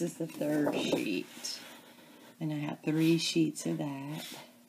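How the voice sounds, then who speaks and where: A soft-spoken woman talks with an American accent. Her pace is very slow. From US South, Memphis, Tennessee area. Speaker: crafting video creator. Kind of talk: crafting tutorial. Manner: casual, chatty.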